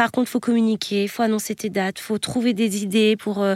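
On a very clean recording with a silent background and a dry, close sound with no echo, a woman with a fairly high pitch speaks in a flat monotone. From western France, Nantes area. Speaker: tour manager for comedy shows. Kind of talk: interview. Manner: hesitant.

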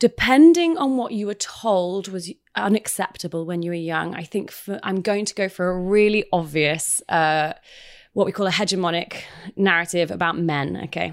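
A woman speaks at a medium pitch and a moderate pace with a British accent. Her pitch varies in an ordinary way, and the recording is very clean with a silent background. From United Kingdom. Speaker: clinical psychologist. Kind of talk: casual interview. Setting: studio.

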